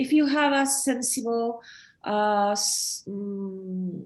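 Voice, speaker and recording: Her pitch medium, a woman speaks with a Chilean Spanish accent and fairly even intonation. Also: quiet background. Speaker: photographer. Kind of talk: artist talk during online exhibit. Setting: online event. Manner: halting, many fillers and repetitions.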